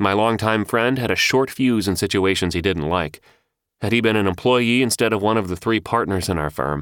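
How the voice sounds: Over a quiet background comes a natural reading voice, its pitch varying in an ordinary way.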